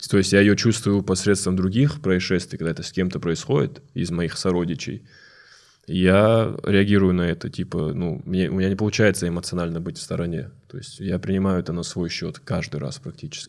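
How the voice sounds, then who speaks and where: In a very clean recording with a silent background, a man talks at a fairly quick pace with a very deep, low pitch and ordinary pitch variation. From North Ossetia. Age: 20s. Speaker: stand-up comedian. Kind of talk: casual chat.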